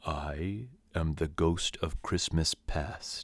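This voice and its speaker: In a put-on character voice, a soft-spoken man talks at a very slow pace with a very deep, low pitch. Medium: read story. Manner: mild, measured, solemn.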